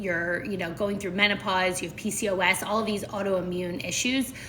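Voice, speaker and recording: A woman at medium pitch and moderate pace, fairly even intonation, noticeable background noise and audible room echo. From Philadelphia, US. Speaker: nutrition coach. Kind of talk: live stream chat.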